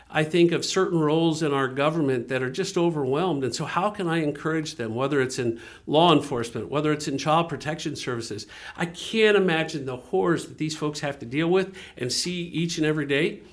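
Using an ordinary speaking voice, a man talks at a fairly quick pace, his fairly high pitch showing ordinary variation. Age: 50s. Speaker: nonprofit ministry director. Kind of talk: interview.

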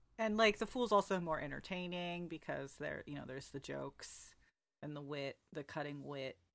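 In a very clean recording with a silent background, a woman with an American accent speaks at a moderate pace, her very deep, low pitch carrying lively intonation and big swings in loudness. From United States. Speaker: podcast co-host. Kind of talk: casual chat, book discussion podcast.

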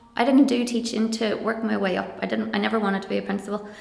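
Over noticeable background noise, a woman speaks with a Donegal accent. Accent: Donegal Irish (Ulster). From Ireland, County Donegal. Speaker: primary teacher and lecturer. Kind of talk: casual interview conversation.

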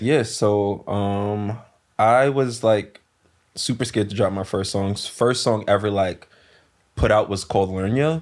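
In a very clean recording with a silent background, a man with a slight New York accent talks at a fairly slow pace with ordinary pitch variation. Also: fairly low pitch for a man. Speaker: singer. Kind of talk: casual chat.

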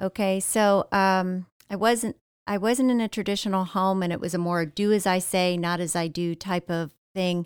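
In a Midwestern American accent, a woman with a medium pitch speaks at a moderate pace with fairly even intonation, the recording very clean with a silent background and a dry, close sound with no echo. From Ohio, US Midwest. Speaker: church member sharing testimony. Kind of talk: testimony. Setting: studio. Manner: hesitant, many fillers.

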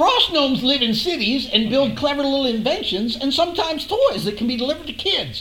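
With clear background noise behind it, a high, put-on character voice races along at a very fast pace with hardly any pauses. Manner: pompous, talkative.

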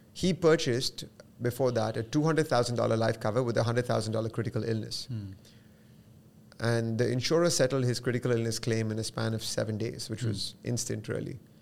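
A plain, everyday voice, a man at medium pitch with ordinary pitch variation and a moderate pace. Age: 40s. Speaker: financial advisor. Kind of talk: interview.

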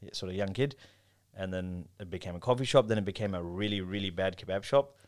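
A man with an Australian accent at a very fast pace, in a very clean recording with a silent background. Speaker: kebab shop owner and entrepreneur. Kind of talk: casual chat.

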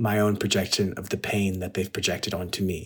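A man with a Californian accent talks at a moderate pace. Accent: Californian American. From Los Angeles, San Gabriel Valley. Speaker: actor and content creator. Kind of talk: interview. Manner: casual, filler-heavy.

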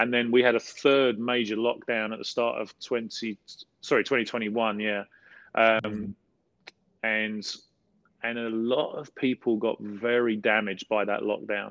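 A man with a South London accent speaks at medium pitch in a flat monotone, at a fairly slow pace. His long, frequent pauses are heard in a dry, close sound with no echo. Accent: South London, casual dialect. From South London, England. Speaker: pastor. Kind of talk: interview conversation, teaching.

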